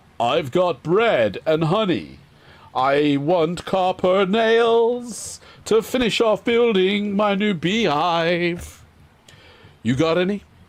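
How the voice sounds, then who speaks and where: A gruff, put-on character voice drags along at a very slow pace. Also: man, high pitch for a man. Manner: abrupt, bursting out.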